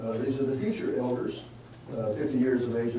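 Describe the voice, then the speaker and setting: At a moderate pace, the voice comes through strong room echo and noticeable background noise. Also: man. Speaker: geriatrics educator. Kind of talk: lecture. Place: hall.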